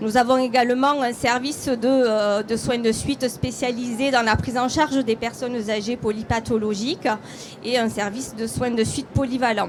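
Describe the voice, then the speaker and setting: There is noticeable background noise as a woman with a high pitch speaks at a moderate pace in a monotone, flat intonation. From southern France. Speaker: hospital deputy director. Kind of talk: conference presentation.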